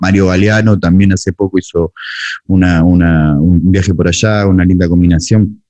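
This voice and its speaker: A man talks with an Argentine accent at a moderate pace. His pitch is very deep and low. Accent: Rioplatense Argentine Spanish. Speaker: music producer and podcast host. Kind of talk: interview conversation. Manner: casual.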